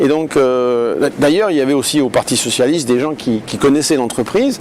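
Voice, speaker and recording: With noticeable background noise behind him, a man of fairly high pitch talks at a moderate pace with ordinary pitch variation. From France, Lyon. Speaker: politician. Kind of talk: interview. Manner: hesitant, many fillers.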